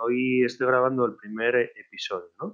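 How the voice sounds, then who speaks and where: The man's voice is pitched in the medium range. He talks fairly slowly. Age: 40s. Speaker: podcaster, online marketer. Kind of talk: personal monologue podcast. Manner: halting, many fillers.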